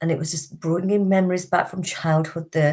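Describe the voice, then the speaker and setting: This woman has a fairly low pitch and a dark, mellow tone. She speaks at a moderate pace with monotone, flat intonation. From Britain, Indian background. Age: 50s. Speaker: wellbeing teacher and healer. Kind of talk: live stream talk.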